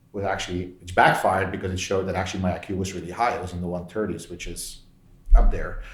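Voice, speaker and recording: In a Belgian accent, a man with a very deep, low pitch talks at a very fast pace in monotone, flat intonation, somewhat breathy, with big swings in loudness and audible room echo. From Belgium. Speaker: tech executive. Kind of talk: interview.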